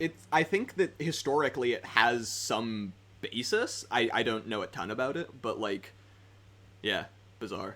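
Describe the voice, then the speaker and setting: Man's voice, medium in pitch, with a bright, sharp tone, lively intonation and a fairly slow pace. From Britain. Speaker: tabletop game podcast host. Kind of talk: casual chat. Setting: voice call on Discord.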